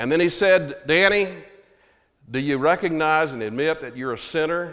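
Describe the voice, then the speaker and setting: A man with a Texan accent, fairly high in pitch, at a moderate pace with lively intonation. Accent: Texan Southern American. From Texas (Hearst, near Fort Worth). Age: 70s. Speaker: Baptist pastor. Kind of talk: sermon. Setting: church.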